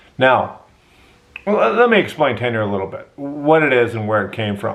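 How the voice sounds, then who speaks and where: The intonation is lively. Noticeable background noise and audible room echo come through. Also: man, medium pitch for a man. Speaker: university professor and podcaster. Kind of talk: podcast monologue. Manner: slow-paced.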